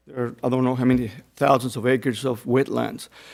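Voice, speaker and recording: A man with a Spanish accent and a medium-pitched voice, on a very clean recording with a silent background. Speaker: retired mill electrical planner, public commenter. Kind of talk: public comment at board meeting. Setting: public meeting room. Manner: halting.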